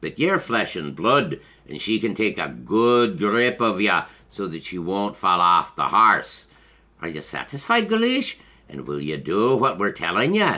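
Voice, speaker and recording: Putting on a character voice, a man talks at a moderate pace. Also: fairly low pitch for a man. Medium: read story.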